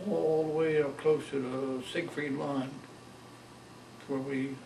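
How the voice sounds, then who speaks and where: Noticeable background noise sits behind a man who talks in an American accent, his pitch varying in an ordinary way. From Maryland, USA. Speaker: World War II veteran. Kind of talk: oral history interview answer.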